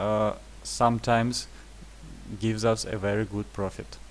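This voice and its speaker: A man talks with a non-native accent. He keeps a fairly slow pace. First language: not English. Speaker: trading indicator developer. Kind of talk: tutorial. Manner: halting, many fillers.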